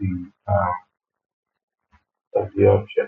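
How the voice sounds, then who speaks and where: A man's voice over music in the background. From Nigeria. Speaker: character animator. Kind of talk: screen-recorded software tutorial. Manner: hesitant, many fillers.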